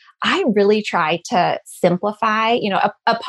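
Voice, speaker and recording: A woman speaks in an American accent at a medium pitch. The sound is dry and close, with no echo. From California. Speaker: nutrition and fitness coach. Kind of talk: casual interview.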